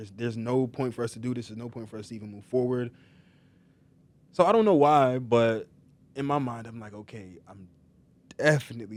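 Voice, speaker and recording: Speaking at a fairly quick pace with an American accent, a man uses a medium pitch, ordinary pitch variation, big swings in loudness and long, frequent pauses. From New York. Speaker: model and reality TV cast member. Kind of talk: casual chat. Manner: casual, filler-heavy.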